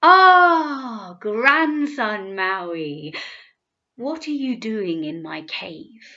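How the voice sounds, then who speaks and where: Putting on a character voice, a woman speaks at a very slow pace with a fairly high pitch and very wide pitch swings over a quiet background. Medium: read story. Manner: terse, imperious.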